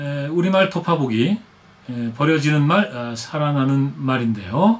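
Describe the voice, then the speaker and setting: The man's pitch is fairly high, with very wide pitch swings. He speaks at a fairly slow pace. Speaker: TV host and historian. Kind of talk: casual news commentary to camera. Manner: hesitant, many filler sounds.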